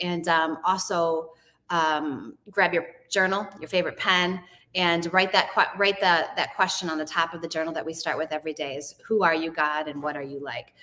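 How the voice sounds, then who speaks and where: A woman's fairly low-pitched voice with a bright, sharp tone, fairly even intonation and a moderate pace. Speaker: host of a Bible study show. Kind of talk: casual group discussion. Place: hall.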